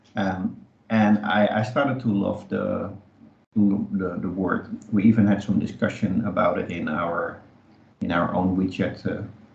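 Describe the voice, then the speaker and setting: Someone with a non-native accent speaks at a fairly slow pace, and room echo is audible. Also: man. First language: not English. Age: 50s. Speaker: podcast co-host, community space co-founder. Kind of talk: casual chat.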